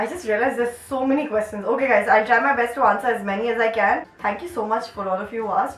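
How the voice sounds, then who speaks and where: Over noticeable background noise, a woman speaks in an animated tone at a fairly high pitch with ordinary pitch variation. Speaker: YouTuber and dancer. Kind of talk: casual Q&A vlog. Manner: chatty, animated.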